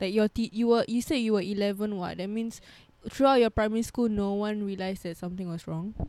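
A woman at a medium pitch, with a dark, mellow tone, fairly even intonation and a very fast pace. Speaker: podcast host. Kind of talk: casual chat.

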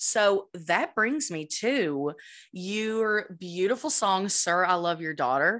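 A woman's medium-pitched voice with lively intonation, a very slow pace and a quiet background. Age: 20s. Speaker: podcast host. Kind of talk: scripted outro; casual chat.

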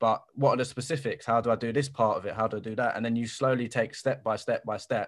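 A man with a South London accent, very fast and monotone, with hardly any pauses. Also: medium pitch for a man, quiet background. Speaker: podcast host. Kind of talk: interview.

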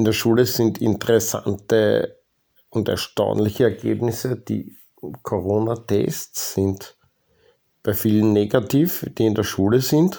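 Over a silent background on a very clean recording, a man speaks very slowly in a fairly low, dark, mellow voice with ordinary pitch variation. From Austria. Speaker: podcast host. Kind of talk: personal monologue. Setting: home basement.

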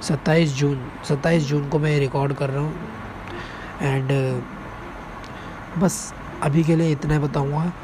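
A man's fairly high voice, monotone and flat, over noticeable background noise. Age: 20s. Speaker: podcaster and reaction channel creator. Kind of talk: casual personal monologue. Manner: unscripted, halting with fillers.

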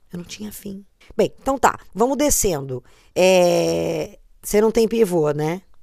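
A woman's dark, mellow voice at medium pitch, very slow, with lively intonation and big swings in loudness. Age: 30s. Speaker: podcast co-host. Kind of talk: casual chat.

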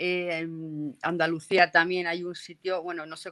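A woman with a fairly low pitch and a Castilian accent speaks in a bright, sharp tone with flat, monotone intonation. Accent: Castilian Spanish (Spain). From Castile and León, Spain (near Burgos). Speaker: paranormal investigator. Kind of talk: casual interview.

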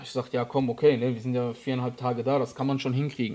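Very fast talking comes from a man whose pitch is medium. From Germany, Frankfurt area. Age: 30s. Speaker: photographer and videographer. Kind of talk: casual interview.

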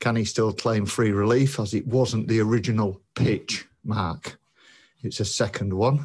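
A man with a British accent speaks in a fairly low, somewhat breathy voice. His pace is fairly slow and his intonation fairly even. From UK. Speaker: listener. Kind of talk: voice message. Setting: recorded voice message.

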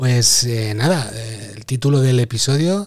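Medium-pitched, somewhat breathy male voice at a very slow pace, with ordinary pitch variation. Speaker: podcast host. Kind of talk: casual chat.

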